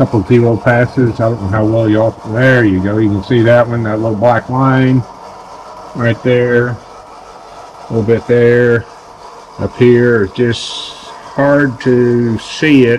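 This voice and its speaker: A man's monotone, flat delivery at a fairly slow pace, with light background noise. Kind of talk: tutorial. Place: workshop. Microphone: phone near.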